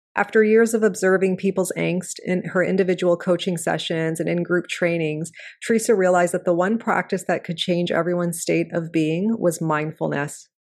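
A woman of fairly low pitch in an unremarkable speaking voice, at a moderate pace with fairly even intonation and hardly any pauses. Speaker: podcast host. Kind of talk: interview conversation.

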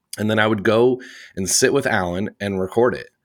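On a very clean recording with a silent background, the speaker keeps a moderate pace in a Midwestern American accent. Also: man. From US Midwest, Indiana. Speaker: theatre podcast host. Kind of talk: casual interview chat.

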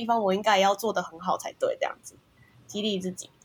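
A somewhat breathy woman speaks at a very fast pace with fairly even intonation. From Taiwan. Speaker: software engineer. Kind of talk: casual chat.

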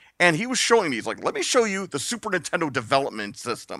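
A man speaks in a high, bright, sharp voice. His pitch swings very widely. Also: very clean recording, silent background. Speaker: podcast guest. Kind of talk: casual chat.

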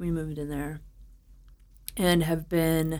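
A woman's very deep, low voice in an American accent, monotone and flat at a moderate pace. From US Midwest (St. Louis, Missouri). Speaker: brewery co-founder. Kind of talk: interview.

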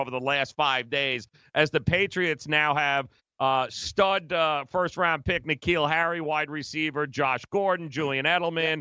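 At a moderate speed and with fairly even intonation comes a plain, everyday voice. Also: man. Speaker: sports radio host. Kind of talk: sports talk radio banter.

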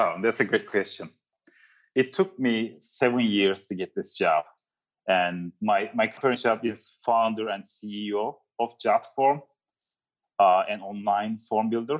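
Speaking with a Turkish accent, a man goes at a fairly slow pace with long, frequent pauses. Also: medium pitch for a man, ordinary pitch variation. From Turkey. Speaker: startup founder. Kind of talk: interview.

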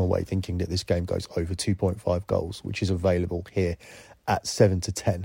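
Over a silent background in a very clean recording, a man speaks at a very fast pace with a very deep, low pitch and a dark, mellow tone that is somewhat breathy. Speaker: soccer betting podcast host. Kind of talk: sports betting analysis monologue.

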